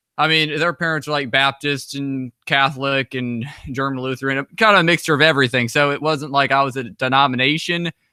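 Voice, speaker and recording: Fairly high-pitched for a man, this American-accented speaker talks fairly quickly with hardly any pauses, fairly even intonation and a bright, sharp tone, in a very clean recording with a silent background. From US Midwest, northwestern Indiana. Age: 20s. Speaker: author and traveler. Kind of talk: interview.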